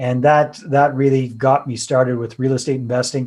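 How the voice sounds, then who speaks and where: In a Canadian accent, a man talks at a moderate pace with a dark, mellow tone. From Canada, British Columbia. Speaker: real estate investor and author. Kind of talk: podcast interview.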